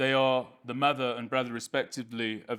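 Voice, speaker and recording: The speaker has a British accent and a monotone, flat intonation. The pace is fairly quick. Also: man. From United Kingdom. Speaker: speaker at a public advocacy event. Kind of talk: public address. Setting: podium in community centre hall with audience. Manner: formal.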